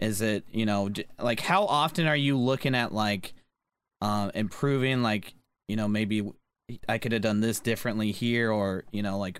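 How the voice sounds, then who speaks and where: A man talks at a moderate pace in an unremarkable speaking voice. His pitch is fairly low, with ordinary variation. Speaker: podcast co-host. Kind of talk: casual chat.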